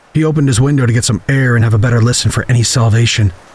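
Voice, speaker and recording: Over noticeable background noise, a man talks at a medium pitch with fairly even intonation. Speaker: horror storyteller. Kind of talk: horror narration, scripted story read aloud.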